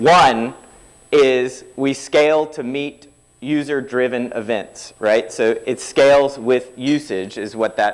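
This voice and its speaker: Very slowly, a man speaks at medium pitch with ordinary pitch variation. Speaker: tech conference speaker. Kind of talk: technical talk. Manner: informal.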